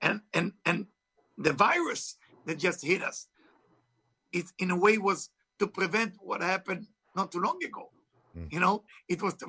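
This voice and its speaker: With an Israeli accent, a man projects a raised, bright, sharp voice at a high pitch and moderate pace, using ordinary pitch variation and long, frequent pauses, in a dry, close sound with no echo. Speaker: author and spiritual teacher. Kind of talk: interview. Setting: video call.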